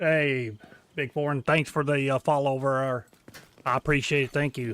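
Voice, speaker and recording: Recorded dry and close with no echo, a man speaks in a strong rural American accent. His pitch is fairly high, his intonation fairly even and his pace moderate. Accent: heavy country. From Kentucky. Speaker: video game streamer. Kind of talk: live gameplay stream chat. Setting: live stream while gaming.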